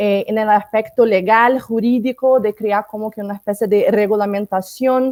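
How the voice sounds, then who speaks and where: A woman speaks with a Portuguese accent at a fairly high pitch, her intonation fairly even. The sound is dry and close, with no echo. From Brazil. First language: Portuguese (speaking Spanish). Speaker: disinformation researcher. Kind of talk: panel discussion.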